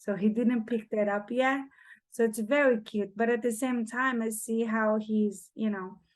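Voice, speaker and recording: Over a quiet background, a woman with a Portuguese accent speaks in a fairly high, flat monotone. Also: fairly slow pace. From Brazil. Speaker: single mother. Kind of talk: casual chat.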